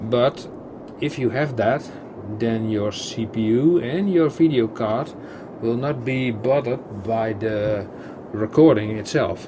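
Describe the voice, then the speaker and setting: A man with a medium pitch and ordinary pitch variation speaks at a very slow pace. Background noise is noticeable. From Netherlands. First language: Dutch. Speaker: gaming YouTuber. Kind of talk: gameplay commentary. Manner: halting, many fillers and repetitions; casual, chatty.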